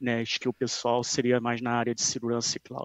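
A man's voice at medium pitch. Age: 30s. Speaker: database security expert. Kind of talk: interview.

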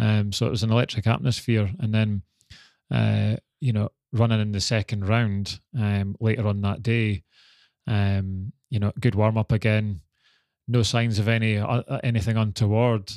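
The recording is very clean, with a silent background and a dry, close sound with no echo. A man with a Scottish accent speaks at a fairly low pitch. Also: fairly even intonation, moderate pace. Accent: Scottish (Fife). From Scotland, Dunfermline (Fife). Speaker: retired Olympic sprinter. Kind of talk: interview.

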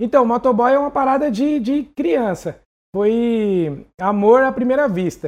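Extremely high pitch from a man, with ordinary pitch variation. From São Paulo, Brazil. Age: 30s. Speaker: motorcycle courier. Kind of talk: interview. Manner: casual.

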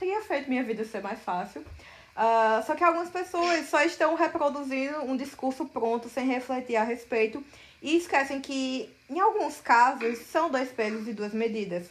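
A woman talks at a moderate speed, her high voice moving with lively intonation. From Brazil, Paraíba (Campina Grande). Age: 20s. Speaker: novelist. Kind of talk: interview.

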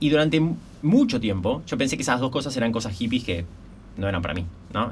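Talking at a very fast pace, a man sounds somewhat breathy, his intonation lively against audible room echo. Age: 30s. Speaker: entrepreneur and business mentor. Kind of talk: podcast interview.

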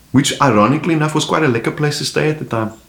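A man at a very fast pace, with ordinary pitch variation and noticeable background noise. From South Africa, Cape Town (District Six area). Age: 40s. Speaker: comedian. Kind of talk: casual chat.

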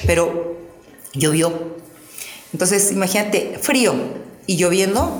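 A woman speaks very slowly in a fairly low pitch with ordinary pitch variation. Noticeable background noise and audible room echo fill the recording. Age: 50s. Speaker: pole fitness athlete and coach. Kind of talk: casual interview.

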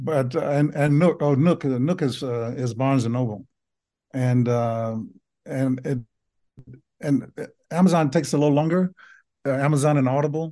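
Against a quiet background, a man with a Southern US accent speaks with a fairly high pitch and a dark, mellow tone, leaving long, frequent pauses. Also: ordinary pitch variation, moderate pace. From US South. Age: 70s. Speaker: physician and memoir author. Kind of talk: casual interview.

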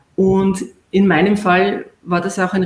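This woman's voice is somewhat breathy. It sits at a medium pitch. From Austria, Vienna. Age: 40s. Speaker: distance-learning graduate, clinical research worker. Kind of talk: interview on a live stream.

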